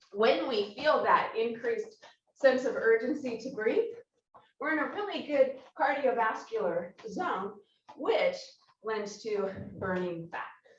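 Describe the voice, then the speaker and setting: With big swings in loudness and long, frequent pauses, a woman speaks at a fairly slow pace amid audible room echo. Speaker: Pilates instructor. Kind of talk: workout instruction. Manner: breathy, slightly halting.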